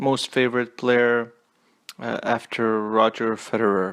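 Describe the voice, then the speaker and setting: Here is a man speaking at medium pitch with a non-native accent. His delivery is monotone and flat, at a very slow pace. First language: not English. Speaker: tennis commentator. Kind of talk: casual monologue review. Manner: halting, many fillers and repeats.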